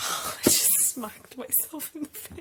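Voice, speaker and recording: Someone whispers quietly. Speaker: booktuber. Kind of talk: vlog. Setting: at home at night. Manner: whispering quietly. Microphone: hard to hear, too quiet.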